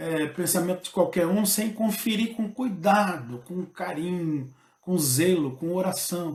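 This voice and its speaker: A man talks at a very slow pace. His pitch is high. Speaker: pastor. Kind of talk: bible study lesson. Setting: livestream. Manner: halting, many fillers.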